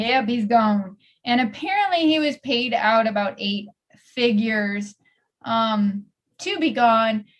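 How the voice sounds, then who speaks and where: A woman talks in a fairly high, somewhat breathy voice with ordinary pitch variation and a playful tone. Her pace is fairly slow, broken by long, frequent pauses. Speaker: podcast host. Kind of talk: casual chat. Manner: playful, bantering.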